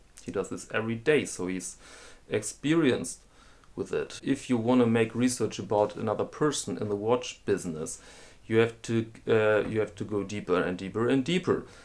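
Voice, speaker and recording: With a German accent, a man speaks using ordinary pitch variation. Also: medium pitch for a man, moderate pace. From Germany. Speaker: watch collector and video host. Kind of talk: casual explainer monologue. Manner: halting, with fillers and repetitions.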